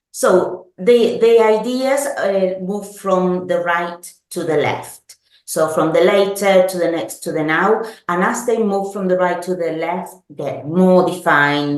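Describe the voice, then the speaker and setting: A woman with a fairly low voice talks at a very slow pace, and audible room echo surrounds her. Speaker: product manager. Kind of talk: product presentation webinar. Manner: halting, frequent ums and self-corrections.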